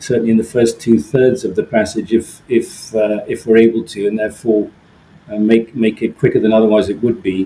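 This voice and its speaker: A man's medium-pitched voice with an English accent, moderate pace and fairly even intonation. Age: 60s. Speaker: solo ocean sailor. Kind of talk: interview. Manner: halting, frequent repeats and fillers.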